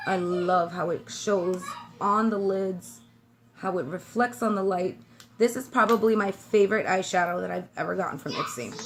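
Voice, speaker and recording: A woman with an American accent, animated in tone, at a fairly slow pace. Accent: New York accent with slight Southern twang. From New York City (Brooklyn). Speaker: beauty vlogger. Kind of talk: makeup tutorial. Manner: chatty, animated.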